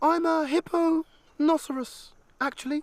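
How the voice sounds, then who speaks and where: The voice is a put-on character voice with a high pitch. It moves at a moderate pace. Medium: read story.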